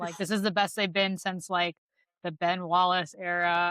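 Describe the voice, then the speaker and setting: Moderate pace and medium pitch from a woman, an ordinary speaking voice. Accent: American. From US Midwest. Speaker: podcast host. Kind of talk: casual chat.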